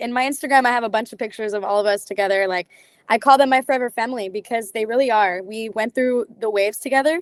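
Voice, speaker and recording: Speaking very fast with a Californian accent, a woman's fairly high voice keeps a fairly even intonation in a dry, close sound with no echo. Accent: Californian American. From Southern California, San Diego area. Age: 18. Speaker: singer, TV talent show contestant. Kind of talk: interview.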